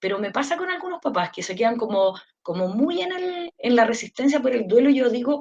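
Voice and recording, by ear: A woman speaks at a fairly high pitch with lively intonation. Her tone is slightly mellow.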